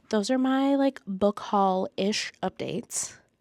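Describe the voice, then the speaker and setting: A woman talks at a very slow pace, her dry, close sound free of echo on a very clean recording with a silent background. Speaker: book vlogger. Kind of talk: casual vlog chat.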